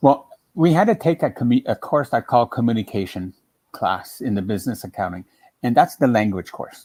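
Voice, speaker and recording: A man with a French Canadian accent talks at a fairly quick pace with lively intonation, in a dry, close sound with no echo. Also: medium pitch for a man. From French-speaking Ontario, Canada. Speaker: quilting demonstrator. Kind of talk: casual chat.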